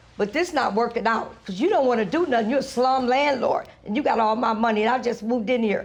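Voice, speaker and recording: Amid noticeable background noise, a woman's high voice races at a very fast pace with hardly any pauses, animated in tone and very even in loudness. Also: ordinary pitch variation. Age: 60s. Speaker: plaintiff in small claims case. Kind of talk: courtroom testimony. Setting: TV courtroom.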